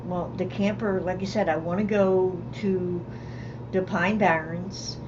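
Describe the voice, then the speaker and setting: Fairly slow speech from a woman at a medium pitch, ordinary pitch variation, with noticeable background noise and audible room echo. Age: 60s. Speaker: semi-retired counselor and camping channel co-host. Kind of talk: casual livestream chat. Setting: home studio livestream.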